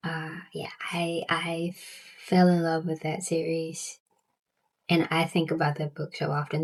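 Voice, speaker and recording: This woman talks in a monotone, flat way with a Southern US accent and a fairly low pitch. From US South. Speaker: book vlogger. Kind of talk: casual chat. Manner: halting, frequent repetitions.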